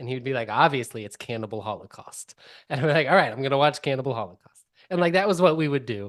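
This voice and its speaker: This man talks very fast at a medium pitch, with lively intonation and big swings in loudness. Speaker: podcast host. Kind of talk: casual chat.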